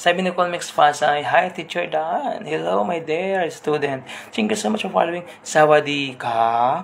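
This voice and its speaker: A man's strained, fairly high voice at a fairly slow pace, with lively intonation over noticeable background noise. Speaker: radio host turned livestream storyteller. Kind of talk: live stream chat and story reading. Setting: indoor room with neighbours next door. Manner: deliberately restrained volume.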